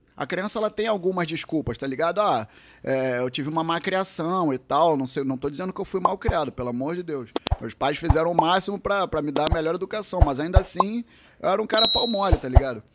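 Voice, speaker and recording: Over noticeable background noise, a man with a high pitch talks at a fairly quick pace, with big swings in loudness. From Brazil. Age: 40s. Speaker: social skills coach. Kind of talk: casual chat. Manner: animated. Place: studio. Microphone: studio mic.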